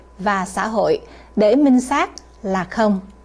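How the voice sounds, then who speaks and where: A woman speaks at a fairly slow pace. Her tone is dark and mellow, with ordinary pitch variation. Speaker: TV news presenter. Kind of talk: news presenter introduction and sign-off. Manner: formal. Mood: formal, calm. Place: studio.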